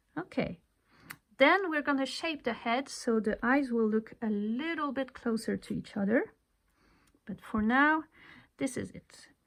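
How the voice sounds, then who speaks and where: The speaker has a non-native accent and lively intonation at a moderate pace. It is a very clean recording with a silent background. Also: woman. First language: not English. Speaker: crochet tutorial creator. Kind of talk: tutorial. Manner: casual, conversational.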